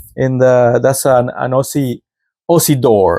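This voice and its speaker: In a Mexican accent, the voice has a dark, mellow tone and fairly even intonation. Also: man. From Mexico. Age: 50s. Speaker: podcast host. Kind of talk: casual monologue.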